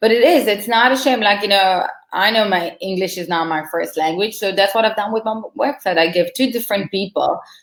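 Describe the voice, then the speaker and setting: A woman talks at a fairly quick pace with an Israeli accent. Her pitch varies in an ordinary way. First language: Hebrew. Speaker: marketing consultant. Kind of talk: casual chat.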